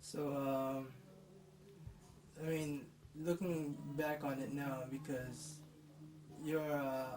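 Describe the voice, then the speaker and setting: A man with a fairly high pitch speaks in a monotone, flat way, with long, frequent pauses and audible room echo. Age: 20s. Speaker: grandson interviewer. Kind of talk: interview.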